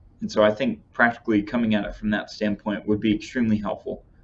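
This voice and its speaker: Talking at a very fast pace, a man speaks with a Texas accent. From Texas Panhandle. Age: young. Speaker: young church member. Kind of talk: casual chat.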